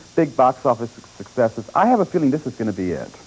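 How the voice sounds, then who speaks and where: A man talks very fast with lively intonation while noticeable noise fills the background. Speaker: newspaper film critic and TV show co-host. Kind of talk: TV movie review, opinionated critic commentary.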